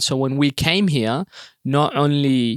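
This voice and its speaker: In an Australian accent, a man talks with fairly even intonation over a dry, close sound with no echo. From Sudan (Khartoum), then Perth, Australia from about age ten. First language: Arabic. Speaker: comedian. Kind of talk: casual interview. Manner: many fillers (um, uh, you know).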